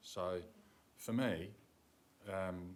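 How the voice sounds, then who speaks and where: In a room with audible echo, a man with a very deep, low pitch and an Australian accent speaks at a very slow pace. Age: 70s. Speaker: councillor. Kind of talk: council meeting debate speech. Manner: halting.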